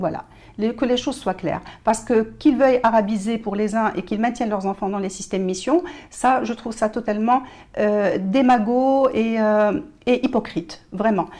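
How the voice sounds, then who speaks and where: A woman with a fairly high voice and ordinary pitch variation talks at a moderate pace. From Morocco. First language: Moroccan Arabic (darija) (speaking French). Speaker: journalist and writer. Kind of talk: TV interview. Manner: hesitant, many filler sounds.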